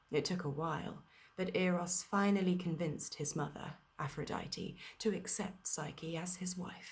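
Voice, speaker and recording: Soft-spoken and somewhat breathy, a woman talks at a moderate pace and a medium pitch with fairly even intonation. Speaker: actor and storyteller. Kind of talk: bedtime story reading. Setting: video call party.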